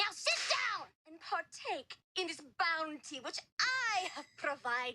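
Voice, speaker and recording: In a cartoonish character voice, a female-sounding speaker uses an extremely high pitch and a theatrical tone at a fairly slow pace. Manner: theatrical, melodramatic.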